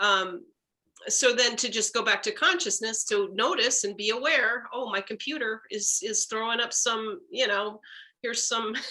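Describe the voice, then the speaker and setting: At a moderate pace, a woman speaks with a fairly high pitch and a bright, sharp tone. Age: 60s. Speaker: workshop participant. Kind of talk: group discussion.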